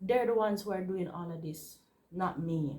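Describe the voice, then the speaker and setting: Somewhat breathy, a woman speaks with a Jamaican accent at medium pitch and lively intonation. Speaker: vlogger and university student. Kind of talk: casual vlog talk to camera.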